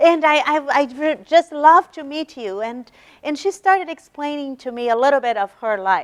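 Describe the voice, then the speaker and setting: A woman in a Brazilian Portuguese accent, at a moderate pace with lively intonation and a dry, close sound with no echo. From Brazil, São Paulo. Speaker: religious lecturer. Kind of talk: lecture. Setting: university meeting room with audience. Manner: halting, repeats words.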